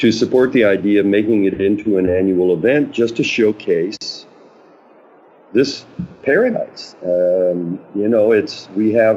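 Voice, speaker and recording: The voice has an American accent. It moves at a moderate pace. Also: man. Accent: sounds Canadian to the host. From New Mexico, US. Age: 70s. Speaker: paddleboarder. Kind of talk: podcast interview. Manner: hesitant, many fillers.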